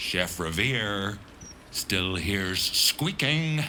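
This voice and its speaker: A man puts on a gruff character voice with a fairly low pitch. Background noise is clear. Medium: video game. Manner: gruff, bossy, coarse.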